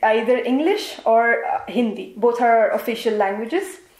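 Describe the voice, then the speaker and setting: A woman's high voice at a fairly slow pace, with audible room echo. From India, Assam. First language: Assamese. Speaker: interviewee, engineer. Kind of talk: interview.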